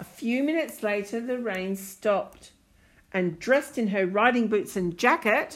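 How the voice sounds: Ordinarily varied pitch across a natural reading voice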